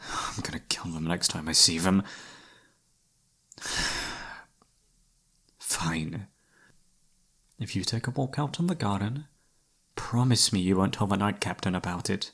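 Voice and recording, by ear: Using a put-on character voice, a man speaks at a low pitch with a fairly bright tone and lively intonation. His pace is fairly slow, broken by long, frequent pauses.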